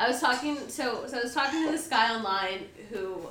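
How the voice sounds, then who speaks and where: A woman speaks in a raised, projected voice against noticeable background noise. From US, Mexican-American. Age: 20s. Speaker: podcast co-host. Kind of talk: casual chat. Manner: animated.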